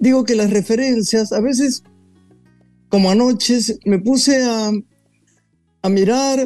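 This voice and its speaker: With music in the background, the speech unfolds at a very slow pace with ordinary pitch variation. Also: man. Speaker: talk show host. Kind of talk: guest introduction; casual chat.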